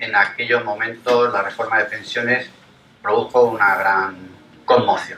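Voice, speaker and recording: Speaking at a fairly slow pace with long, frequent pauses, a man's medium-pitched voice comes through noticeable background noise. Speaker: labour lawyer and lecturer. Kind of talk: public lecture. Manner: hesitant.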